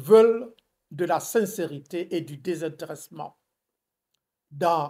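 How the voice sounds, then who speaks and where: At a very slow pace, a man speaks with a high pitch and ordinary pitch variation. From Burkina Faso. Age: 80s+. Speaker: former diplomat. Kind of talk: interview. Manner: hesitant with fillers.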